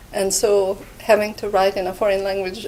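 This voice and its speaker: A woman with a non-native accent, amid noticeable background noise. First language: Hungarian. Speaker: art history professor. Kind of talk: interview monologue. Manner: hesitant with fillers.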